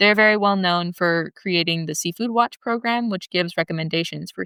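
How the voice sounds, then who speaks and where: An American accent with ordinary pitch variation and a bright, sharp tone, on a very clean, silent-background recording with dry, close sound and no echo. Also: woman. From Southern California. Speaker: podcast host and graduate student researcher. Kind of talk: scripted podcast narration.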